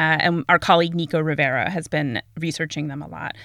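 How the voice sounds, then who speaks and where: A woman's fairly low voice has a bright, sharp tone at a moderate pace, with a dry, close sound and no echo. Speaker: podcast host. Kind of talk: casual interview. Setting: remote interview. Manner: rising intonation on questions.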